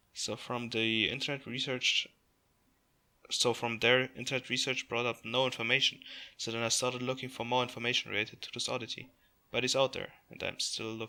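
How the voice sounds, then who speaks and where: With a non-native accent, the speaker's bright, sharp tone moves at a fairly quick pace in monotone, flat intonation. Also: man, medium pitch for a man. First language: not English. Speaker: YouTuber reacting to online mystery videos. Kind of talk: casual commentary and reading aloud.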